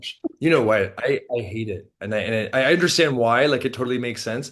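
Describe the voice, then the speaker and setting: Speaking at a fairly quick pace with an American accent, a man uses a medium pitch and ordinary pitch variation. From Canada, Toronto. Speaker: postdoctoral researcher. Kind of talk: podcast interview. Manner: casual, many fillers and restarts.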